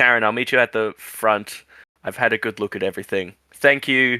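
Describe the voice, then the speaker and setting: Using a put-on character voice that is raspy, a man with a medium pitch talks at a fairly quick pace in a dry, close sound with no echo. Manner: flat and awkward.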